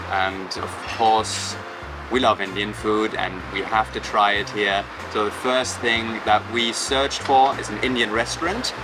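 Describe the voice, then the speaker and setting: A man at a fairly slow pace with ordinary pitch variation, music in the background. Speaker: travel vlogger. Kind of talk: casual vlog chat. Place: cafe.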